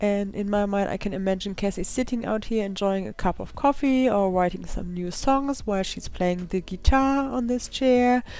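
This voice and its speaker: A woman with a German accent, a dark, mellow tone and a medium pitch, ordinary pitch variation, a moderate pace and hardly any pauses. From Germany. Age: 20s. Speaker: gaming YouTuber. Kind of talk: voiceover narration.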